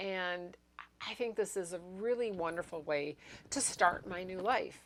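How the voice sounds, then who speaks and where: A woman with a fairly low pitch uses a normal speaking voice, talking at a moderate pace with lively intonation. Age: 60s. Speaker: YouTuber sharing ADHD experiences. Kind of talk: personal vlog monologue. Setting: home apartment recording space. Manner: casual, conversational with fillers.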